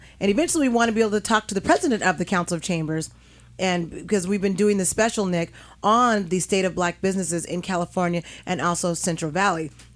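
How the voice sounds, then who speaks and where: In a quiet background, a woman speaks very fast at a medium pitch with ordinary pitch variation. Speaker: radio talk show host. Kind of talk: radio talk show discussion. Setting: radio studio.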